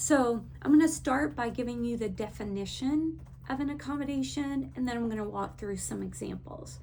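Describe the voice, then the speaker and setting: A woman talks with a strong Texas accent, and audible room echo surrounds her voice. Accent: thick Texas. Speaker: education consultant. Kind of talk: teacher training talk.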